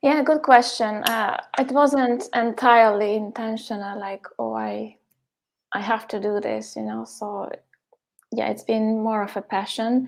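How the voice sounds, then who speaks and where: In a Hungarian accent, a woman speaks at a fairly slow pace and fairly high pitch with fairly even intonation and big swings in loudness. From Hungary. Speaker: poet. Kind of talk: interview. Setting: live stream.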